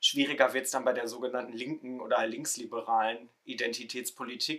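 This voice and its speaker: A man with a normal speaking voice, medium pitch and moderate pace, on a very clean recording with a silent background. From Ruhr area, Germany. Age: 20s. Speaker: theology student, social media creator. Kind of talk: casual discussion podcast.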